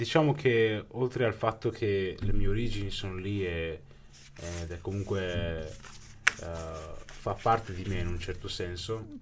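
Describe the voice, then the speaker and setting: Light background noise sits behind a man who speaks with long, frequent pauses and ordinary pitch variation. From northern Italy, Brescia (born in Pakistan); northern Italy. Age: 20s. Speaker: interviewee, Pakistani-born immigrant; interviewee. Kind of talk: interview. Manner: halting, many repetitions. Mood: thoughtful, reflective. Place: studio. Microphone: studio mic.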